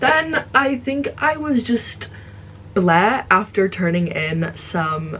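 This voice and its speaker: Here a woman speaks with ordinary pitch variation. There is noticeable background noise. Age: 20s. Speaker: book reviewer. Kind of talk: casual chat. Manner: halting.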